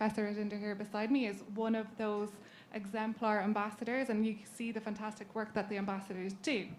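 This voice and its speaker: A woman's fairly high, flat monotone in an Irish accent, at a fairly quick pace. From Ireland. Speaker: patient advocacy leader. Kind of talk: panel talk.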